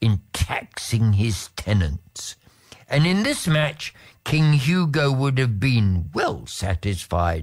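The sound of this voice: Lively intonation runs through the delivery. It is an unforced reading voice.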